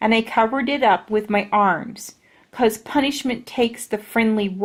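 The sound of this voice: An unforced reading voice with ordinary shifts in pitch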